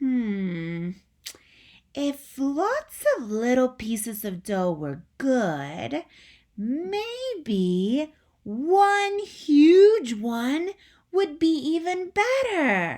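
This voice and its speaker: A woman puts on a character voice with a Southern-free high pitch and very wide pitch swings. She speaks at a very slow pace. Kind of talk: bedtime story. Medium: read story. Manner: thoughtful, musing.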